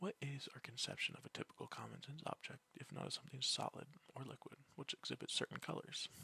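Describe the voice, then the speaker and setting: Whispering at a fairly quick pace. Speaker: student. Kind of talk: philosophy text reading. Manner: soft-spoken.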